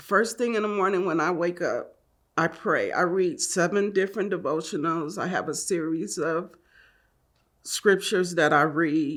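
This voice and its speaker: A woman speaks in a plain, everyday voice at a fairly low pitch. She keeps a moderate pace with ordinary pitch variation. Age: 60s. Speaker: wife of an incarcerated man sharing her story. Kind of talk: personal testimony.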